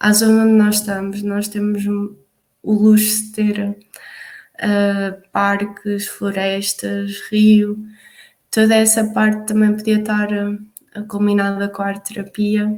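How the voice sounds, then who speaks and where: The speaker has a European Portuguese accent and a very slow pace. The voice is somewhat breathy, with monotone, flat intonation. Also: woman, medium pitch for a woman. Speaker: youth project facilitator. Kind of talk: online collaborative meeting presentation. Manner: halting, many fillers.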